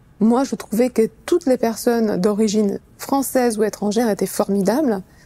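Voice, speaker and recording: A woman with a Romanian accent speaks at a fairly quick pace. Her tone is dark and mellow, with ordinary pitch variation. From Romania, Bucharest. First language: Romanian (speaking French). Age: 40s. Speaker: sales executive. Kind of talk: interview testimony. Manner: hesitant, many fillers.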